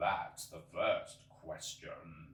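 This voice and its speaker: A man puts on a character voice, with a slight echo on the sound. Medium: read story. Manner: solemn, detached, ponderous.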